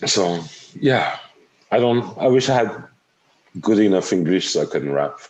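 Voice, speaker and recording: A man with vocal fry and a fairly low pitch speaks at a moderate pace with lively intonation, very even loudness and long, frequent pauses. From France, near the German border. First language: French. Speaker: podcast host. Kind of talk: casual interview chat. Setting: call. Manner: halting.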